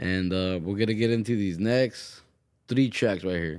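A man talks in a normal speaking voice at a moderate pace, with ordinary pitch variation. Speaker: radio host. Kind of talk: radio DJ patter between tracks. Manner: relaxed, upbeat, repetitive stock phrases like 'hope you guys enjoyed that great track'; casual and mellow, a bit lifted.

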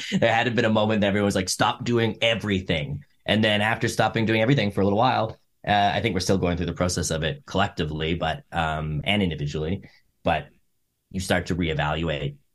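Speaking very fast with a Canadian accent, a man uses a very deep, low voice and ordinary pitch variation. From Canada, Edmonton, Alberta. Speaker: musician. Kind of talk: interview conversation.

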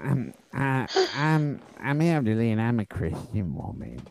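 A man puts on a character voice at a medium pitch, speaking very slowly with lively intonation. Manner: sweet, pious.

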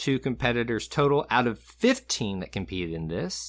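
With a Southern US accent, a man talks at a moderate pace and medium pitch, his intonation lively. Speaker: podcast co-host. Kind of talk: casual chat.

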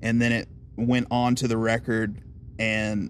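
A man speaks with a Southern US accent. His pitch sits in the middle range. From US South, Aiken, South Carolina. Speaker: songwriter. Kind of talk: casual chat.

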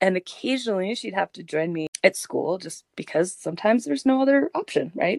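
Recorded dry and close with no echo, a woman of medium pitch talks at a fairly quick pace with hardly any pauses, very wide pitch swings and big swings in loudness. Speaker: massage therapist and podcast co-host. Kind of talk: casual chat. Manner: laughs often.

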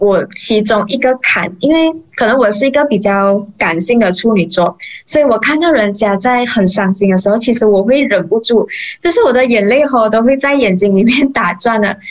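A woman speaks at a fairly high pitch and moderate pace, with ordinary pitch variation and very even loudness. Noticeable background noise runs underneath. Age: 20s. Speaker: mortician and funeral emcee. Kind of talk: interview.

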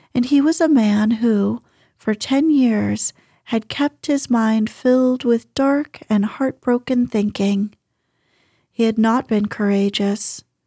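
A woman's somewhat breathy, dark and mellow voice, soothing and calm in tone, very slow, with ordinary pitch variation and very even loudness, dry and close with no echo in a very clean recording with a silent background. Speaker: audiobook narrator. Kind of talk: dramatic narration, reading a novel aloud at bedtime. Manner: soft, slow, soothing and calm, with gentle storytelling expression.

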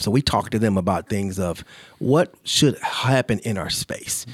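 In an ordinary speaking voice, a man talks at a fairly slow pace with fairly low pitch, recorded very cleanly against a silent background with a dry, close sound and no echo. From Charlotte, North Carolina. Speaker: nonprofit founder and CEO. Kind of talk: interview.

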